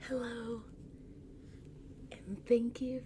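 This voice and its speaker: A woman with a fairly high pitch talks at a very slow pace. There is noticeable background noise. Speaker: ASMR reader and host. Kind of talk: casual chatty commentary to camera, book club host.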